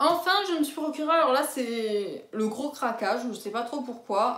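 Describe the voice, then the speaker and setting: A woman speaks with ordinary pitch variation over noticeable background noise and audible room echo. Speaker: book vlogger. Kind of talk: casual chat. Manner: hesitant, many fillers.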